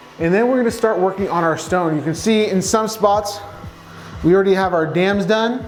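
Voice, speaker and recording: A man with a high voice talks at a fairly quick pace in an enthusiastic tone, with ordinary pitch variation and very even loudness, over noticeable background noise and audible room echo. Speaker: real estate developer and contractor. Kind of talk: site tour vlog. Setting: construction site. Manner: fast.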